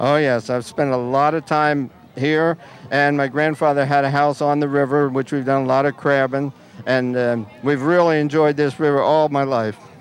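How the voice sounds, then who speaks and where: This man talks at a fairly high pitch, with monotone, flat intonation. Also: moderate pace, very even loudness. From New Jersey shore, Manasquan. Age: 70s. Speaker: local resident. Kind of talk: street interview.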